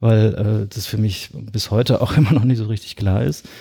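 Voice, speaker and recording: A man speaks at a fairly low pitch and a moderate pace, with a dark, mellow, somewhat breathy tone. His intonation is fairly even, and the recording is very clean with a silent background. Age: 40s. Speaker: architect and cycling blogger. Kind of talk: casual interview. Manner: hesitant with many fillers.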